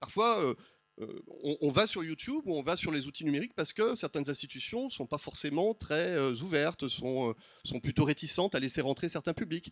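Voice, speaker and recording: Fairly quick and fairly high-pitched, a man speaks with lively intonation in a dry, close sound with no echo on a very clean recording with a silent background. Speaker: sociology professor. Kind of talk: conference talk with slides. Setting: round table before audience. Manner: fast; hesitant, many fillers.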